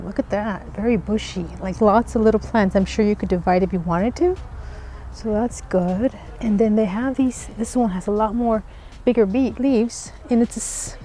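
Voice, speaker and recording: Moderate pace, ordinary pitch variation, and a dry sound with no echo over light background noise. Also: woman. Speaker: plant vlogger. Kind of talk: casual vlog chat. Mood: excited, cheerful. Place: shop. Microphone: phone near.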